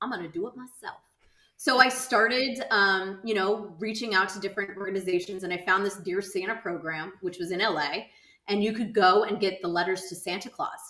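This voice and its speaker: A woman with an American accent and an ordinary speaking voice, medium pitch, ordinary pitch variation and a fairly quick pace. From Southern California. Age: 40s. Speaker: insurance entrepreneur and nonprofit founder. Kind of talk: podcast interview. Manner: casual, with many fillers.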